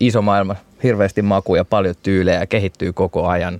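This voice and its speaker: Delivered at a very fast pace, the voice sounds dry and close, with no echo at all. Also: man. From Finland, Turku. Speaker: beer festival organizer. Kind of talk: casual chat.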